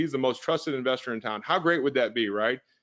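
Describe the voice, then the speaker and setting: With an American accent, a man talks at a fairly quick pace with lively intonation. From US Midwest (St. Louis, Missouri). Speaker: real estate investor and trainer. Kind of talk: webinar sales pitch. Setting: online webinar. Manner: fast; energetic, persuasive.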